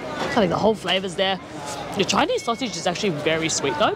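Noticeable background noise accompanies speech delivered at a fairly quick pace. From Australia. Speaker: travel vlogger. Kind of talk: travel vlog walkthrough. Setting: outdoors at a night market. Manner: animated.

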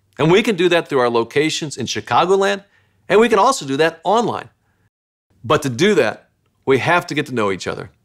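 A man talks at a fairly quick pace with very wide pitch swings. His voice carries vocal fry, and the background is quiet. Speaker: church pastor. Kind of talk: welcome announcement. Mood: warm, welcoming. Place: studio.

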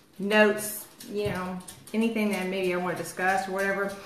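A woman's voice carries audible room echo and light background noise. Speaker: lifestyle live streamer. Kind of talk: casual live-stream chat. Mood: chatty, a bit self-mocking. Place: home room. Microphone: phone near.

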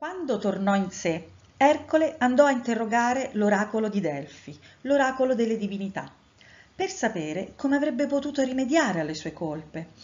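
Fairly high female voice, pitch swinging very widely. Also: moderate pace. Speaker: storyteller. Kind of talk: reading aloud.

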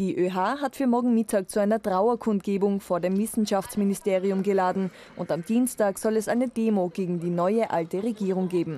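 A woman speaks at a moderate pace and a medium pitch, with ordinary pitch variation. Her tone is dark and mellow, and her loudness stays very even. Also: hardly any pauses. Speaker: news reporter. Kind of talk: formal news reading. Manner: formal; brisk, measured, even newsreader delivery.

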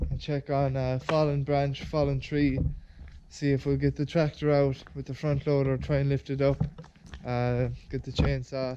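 Someone with an Irish accent speaks at a moderate pace in a monotone, flat delivery over noticeable background noise. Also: man. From Ireland. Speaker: farmer and video creator. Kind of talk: casual vlog narration. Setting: outdoors on a farm. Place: farm. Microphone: phone near.

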